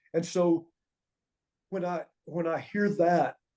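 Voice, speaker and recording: A man speaks at a fairly slow pace with a Southern US accent, his dark, mellow tone carried on fairly even intonation. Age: 60s. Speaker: former pro wrestling referee and wrestling trainer. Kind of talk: interview storytelling.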